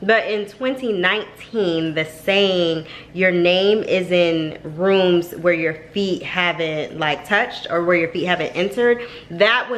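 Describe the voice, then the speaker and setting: There is noticeable background noise behind this woman's medium-pitched voice. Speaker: family vlogger. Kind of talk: casual vlog chat. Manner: fast; chatty.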